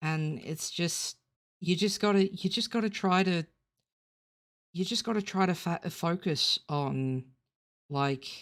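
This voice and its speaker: With an Australian accent, the speaker goes at a very slow pace with long, frequent pauses, on a very clean recording with a silent background. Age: 30s. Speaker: digital artist. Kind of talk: drawing tutorial. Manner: halting, many fillers and repeats.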